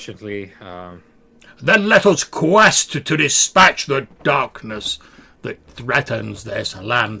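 A man's put-on character voice at a medium pitch, delivered at a very slow pace. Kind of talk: fantasy quest speech. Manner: grand, heroic, strange.

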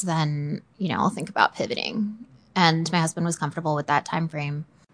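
A woman with a General American accent and a normal speaking voice, fairly low in pitch, at a fairly quick pace over a quiet background. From US, Northern Virginia. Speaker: newborn and family photographer. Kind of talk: interview, casual chat.

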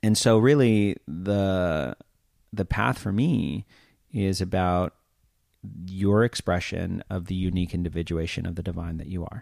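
A man with a very deep, low voice and ordinary pitch variation speaks at a fairly slow pace in a very clean recording with a silent background and a dry, close sound with no echo. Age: 30s. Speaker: podcast host. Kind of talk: casual chat.

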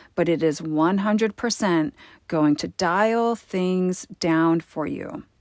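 A woman's medium-pitched voice, very slow, in a very clean recording with a silent background. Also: dry, close sound with no echo. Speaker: podcast host. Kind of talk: casual monologue.

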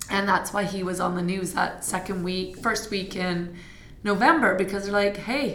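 A woman with a Canadian accent speaks at a moderate pace in a medium pitch. Noticeable background noise and audible room echo come through. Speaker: fitness studio owner and instructor. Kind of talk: casual interview. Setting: fitness studio.

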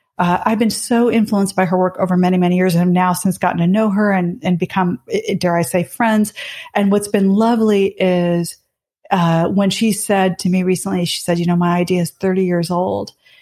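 The voice is somewhat breathy with a dark, mellow tone, very even loudness, fairly even intonation and a fairly quick pace, in a very clean recording with a silent background. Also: woman, medium pitch for a woman. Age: 50s. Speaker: business author and management thinker. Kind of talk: interview conversation.

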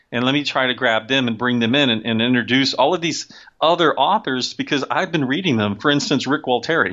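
At a medium pitch, a man talks in a normal speaking voice. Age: 50s. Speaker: sci-fi and fantasy author. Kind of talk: casual interview.

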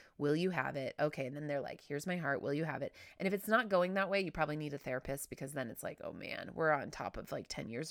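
Words come at a very fast pace in a bright, sharp tone with ordinary pitch variation. The recording is very clean, with a silent background. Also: woman. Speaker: podcast host. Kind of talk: casual monologue.

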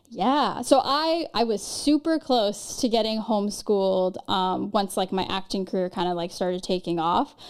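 In a very clean recording with a silent background, a woman with a Californian accent speaks at a moderate pace in a fairly high voice. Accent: Californian American. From Los Angeles, Marina Del Rey area. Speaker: actress. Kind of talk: casual interview chat.

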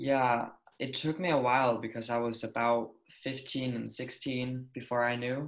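This man speaks at a fairly slow pace with a medium pitch. His intonation is monotone and flat. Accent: Danish. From Denmark. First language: Danish. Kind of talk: casual interview chat.

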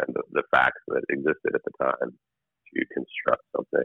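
A man with an American accent talks at a fairly slow pace with fairly even intonation, a slightly husky edge and vocal fry. The sound is dry and close, with no echo.

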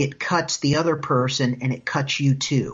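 A man with an American accent speaks at a fairly high pitch, somewhat breathy, with ordinary pitch variation. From US Midwest (Indiana, Iowa). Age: 30s. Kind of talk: casual chat.

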